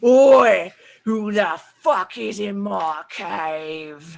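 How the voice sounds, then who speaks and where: A booming, put-on character voice at a middle pitch moves at a very slow pace. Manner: angry, aggressive.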